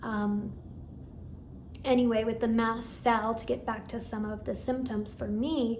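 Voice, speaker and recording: With audible room echo behind her, a woman speaks at a fairly slow pace and a fairly high pitch, in monotone, flat intonation with long, frequent pauses. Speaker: hypnotherapist and meditation channel creator. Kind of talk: personal vlog update. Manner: casual with fillers.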